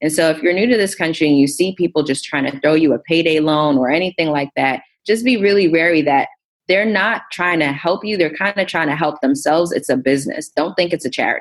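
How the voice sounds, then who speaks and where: A fairly low-pitched woman's voice at a fairly quick pace with ordinary pitch variation. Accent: American. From Queens, New York City. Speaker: entrepreneur and investing educator. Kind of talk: podcast interview.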